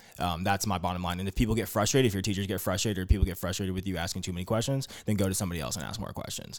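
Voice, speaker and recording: A man's very deep, low voice comes through on a very clean recording with a silent background. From Arizona, Phoenix. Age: 20s. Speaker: young tech entrepreneur. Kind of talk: casual chat.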